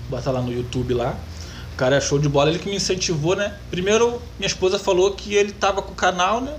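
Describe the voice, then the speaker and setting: A high-pitched man talks at a very fast pace with very wide pitch swings. Noticeable background noise is present. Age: 30s. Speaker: metalworker and YouTuber. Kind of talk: interview.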